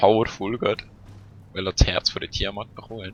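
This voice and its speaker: Relaxed in tone, a man talks at a moderate pace with a fairly low pitch and monotone, flat intonation. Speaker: let's play gamer. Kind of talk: casual gameplay commentary. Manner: casual, relaxed.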